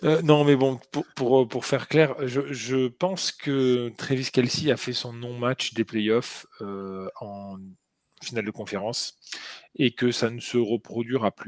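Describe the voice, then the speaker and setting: In a southern French accent, a man speaks at a very slow pace and medium pitch, with ordinary pitch variation and big swings in loudness, on a very clean recording with a silent background and a dry, close sound with no echo. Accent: southern French accent, sing-song. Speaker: NFL podcast co-host. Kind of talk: casual chat. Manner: hesitant, many fillers and repetitions.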